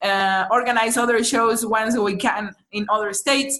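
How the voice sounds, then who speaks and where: This speaker has a Mexican accent and fairly even intonation. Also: woman. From Mexico City. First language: Spanish. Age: 30s. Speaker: psychologist and beginner stand-up comedian. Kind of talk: casual interview chat. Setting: remote call.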